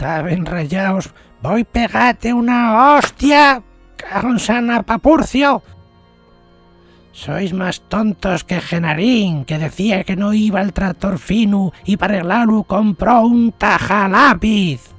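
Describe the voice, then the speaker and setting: Someone shouts in a put-on character voice at a fairly high pitch and a fairly slow pace. Faint music plays in the background. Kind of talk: comedic parody dub. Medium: dub. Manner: angry, shouting.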